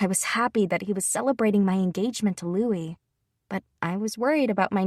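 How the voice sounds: Over a quiet background, this is a natural reading voice with ordinary pitch variation.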